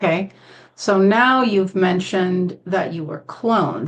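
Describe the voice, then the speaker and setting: A woman's plain, everyday voice at medium pitch, fairly slow, with ordinary pitch variation. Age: 60s. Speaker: interview host. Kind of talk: interview.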